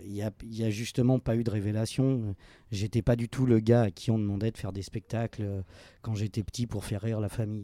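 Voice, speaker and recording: Recorded very cleanly against a silent background, with a dry, close sound and no echo, a man speaks in a dark, mellow tone at a fairly low pitch with fairly even intonation. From France, Lyon. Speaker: actor and drama teacher. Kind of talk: interview conversation. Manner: hesitant, repeats words.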